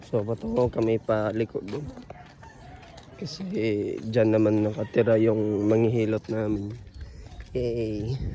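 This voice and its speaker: Amid noticeable background noise, a man speaks fairly slowly at a fairly low pitch, with fairly even intonation and long, frequent pauses. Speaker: vlogger, parent. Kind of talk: casual vlog chat. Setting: outdoors, walking.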